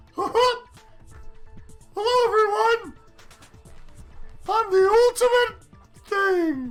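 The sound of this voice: A put-on character voice, extremely high-pitched, moves at a very slow pace with long, frequent pauses while faint music plays behind it.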